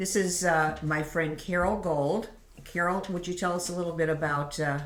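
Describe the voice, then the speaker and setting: Over noticeable background noise and audible room echo, a woman speaks at a moderate pace with a fairly low pitch and fairly even intonation. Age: old. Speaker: podcast host and piano teacher. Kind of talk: casual chat. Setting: around a kitchen table.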